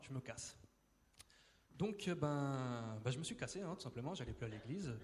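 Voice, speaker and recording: Ordinary pitch variation at a moderate pace. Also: man. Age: 20s. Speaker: church member giving testimony. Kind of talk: testimony. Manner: hesitant, many fillers and repetitions.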